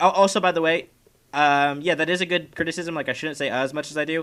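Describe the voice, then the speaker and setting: Very fast and bright, sharp in tone, a man speaks with an American accent. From Kansas, US. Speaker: podcast co-host. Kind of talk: casual chat. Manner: many filler uhs, halting.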